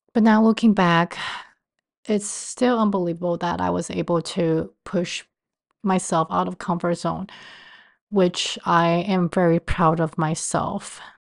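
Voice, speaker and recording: A woman's fairly low voice in a Chinese accent, with fairly even intonation and long, frequent pauses. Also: fairly slow pace, quiet background. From Taiwan. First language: Mandarin Chinese. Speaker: podcast host. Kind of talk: personal podcast monologue.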